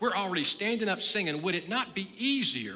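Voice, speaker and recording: Noticeable background noise sits behind a man with an American accent. His pitch is high and his intonation lively. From Texas (Nederland, southeast Texas). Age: 60s. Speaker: pastor. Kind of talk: sermon. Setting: church.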